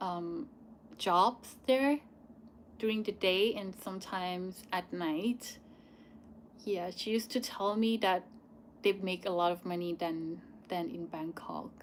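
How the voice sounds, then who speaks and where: A woman with a Thai accent speaks at medium pitch with ordinary pitch variation. Her very slow pace includes long, frequent pauses. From Thailand. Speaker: YouTuber. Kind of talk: live Q&A. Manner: halting.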